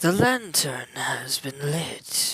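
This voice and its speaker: A raspy, put-on character voice at a middle pitch drags along at a very slow pace. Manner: ominous, theatrical.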